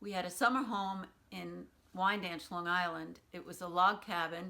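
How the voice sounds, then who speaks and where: Speaking at a moderate pace, a woman uses a medium pitch and a bright, sharp tone. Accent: American. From New York City, Brooklyn. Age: 60s. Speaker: oral history interviewee. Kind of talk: oral history interview.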